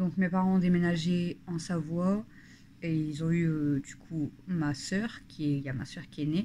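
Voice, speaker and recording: In a northern French accent, a woman speaks at a fairly slow pace with fairly even intonation. Her voice is fairly low in pitch, with a dark, mellow tone. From northern France (Nord / Pas-de-Calais). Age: 30s. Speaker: family vlogger. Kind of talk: casual talk to camera. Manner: hesitant, many fillers.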